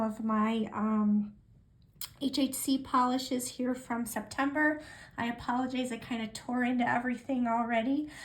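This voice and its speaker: A woman speaks at a fairly slow pace in a high voice, her intonation fairly even. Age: 60s. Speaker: nail polish vlogger. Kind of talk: casual chat. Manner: halting, many fillers.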